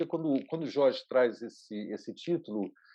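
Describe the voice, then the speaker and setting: The speaker is a man. His tone is dark and mellow. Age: 60s. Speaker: video artist and producer. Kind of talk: online lecture. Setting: online session.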